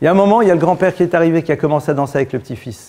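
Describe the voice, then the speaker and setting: At a very fast pace, a man talks in a dark, mellow tone with ordinary pitch variation. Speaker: rabbi teaching a Torah class. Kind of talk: religious lecture. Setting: synagogue. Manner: blunt, informal.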